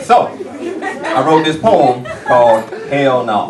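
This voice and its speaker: There is noticeable background noise and audible room echo. Through it, a man speaks at a fairly high pitch. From US South, Atlanta, Georgia. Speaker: spoken word poet. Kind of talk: spoken word poetry performance. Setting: stage with audience.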